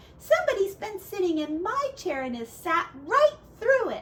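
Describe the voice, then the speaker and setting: A woman speaks in a put-on character voice at an extremely high pitch. Her pitch swings very widely, and her pace is moderate. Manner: plaintive, crying out.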